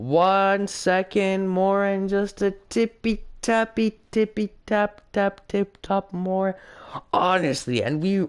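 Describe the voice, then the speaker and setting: A man adopts a put-on character voice, high-pitched and delivered very slowly. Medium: solo performance. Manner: deferential, says sir.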